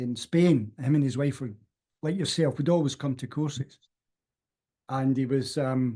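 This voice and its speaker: The man's voice, fairly high for him, is dark and mellow in tone and somewhat breathy, moving at moderate speed with ordinary pitch variation. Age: 60s. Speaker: self-development course teacher. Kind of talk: casual interview chat.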